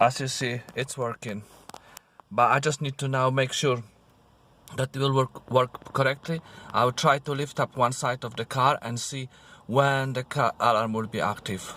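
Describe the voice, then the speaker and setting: Speaking in a non-native accent, a man with a medium pitch and a bright, sharp tone keeps a moderate pace and fairly even intonation, the sound dry and close with no echo. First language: not English. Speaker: car DIY video maker. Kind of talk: tutorial. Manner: halting.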